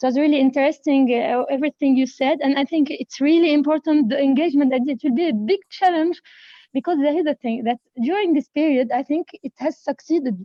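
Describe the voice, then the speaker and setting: A woman's high-pitched voice with a French accent, fairly quick, with ordinary pitch variation. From France. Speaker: participant, company manager. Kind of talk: panel discussion comment. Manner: halting.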